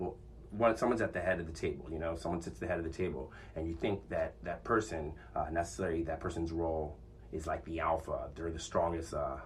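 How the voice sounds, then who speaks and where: Audible room echo surrounds a man with a very deep, low pitch and vocal fry. He talks at a very fast pace. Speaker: podcast host. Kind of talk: casual monologue. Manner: loud; confident.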